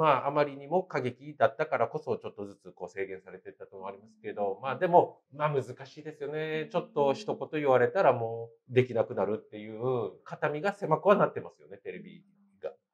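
An ordinary speaking voice: a man with fairly high pitch, lively intonation, big swings in loudness, and a fairly quick pace. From Japan. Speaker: comedian. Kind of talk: casual interview. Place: cafe.

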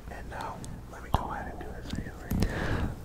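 The speaker is whispering. The words come at a fairly quick pace. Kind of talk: casual direct-to-camera talk. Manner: soft, close ASMR murmur. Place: home room. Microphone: phone near.

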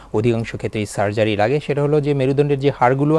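A man with a plain, everyday voice at medium pitch. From Bangladesh. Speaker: neurosurgeon. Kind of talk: expert explanation on TV.

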